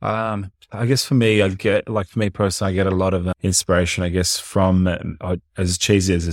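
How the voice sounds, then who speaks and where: A very deep, low male voice with an Australian accent, fairly even intonation and a fairly quick pace, dry and close with no echo. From Colombia. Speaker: personal trainer and fitness entrepreneur. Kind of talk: casual interview chat.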